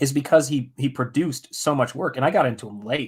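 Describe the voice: Putting on a character voice, a man speaks at a fairly quick pace. His voice is hoarse, medium in pitch, with ordinary pitch variation.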